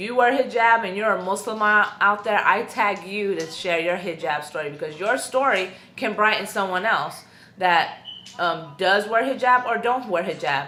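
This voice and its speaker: Audible room echo surrounds a woman speaking at a moderate pace in a medium pitch with ordinary pitch variation. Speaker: YouTuber / vlogger. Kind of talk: personal vlog testimony. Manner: loud, outspoken; casual with many fillers.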